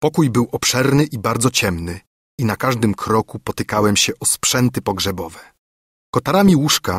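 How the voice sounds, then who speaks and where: An ordinary speaking voice with ordinary pitch variation, in a very clean recording with a silent background and a dry, close sound with no echo. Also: man. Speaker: audiobook narrator. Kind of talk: dramatic first-person narration of a gothic horror story, read aloud. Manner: grave, hushed, tense, with rising dread and horror near the climax; slow, measured, formal literary delivery.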